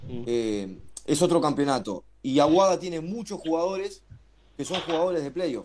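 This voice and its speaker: Using a normal speaking voice, a man talks at a fairly high pitch and a moderate pace with lively intonation. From Uruguay. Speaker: basketball radio presenter. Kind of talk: casual chat.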